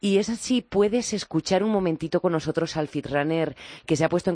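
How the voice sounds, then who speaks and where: The sound is dry and close with no echo as a woman speaks at a fairly quick pace. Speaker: radio host. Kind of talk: radio magazine show.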